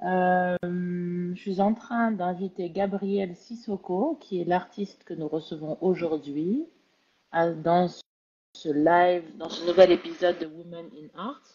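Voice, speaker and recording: A woman's fairly low, dark, mellow voice at a very slow pace, with long, frequent pauses, big swings in loudness and ordinary pitch variation. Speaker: live interview host. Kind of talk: live video interview. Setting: online live video stream.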